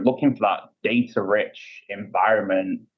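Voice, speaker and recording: Someone speaks at a moderate pace with a British accent. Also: man. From UK. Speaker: payments industry executive. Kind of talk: interview. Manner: frequent filler words and repetitions.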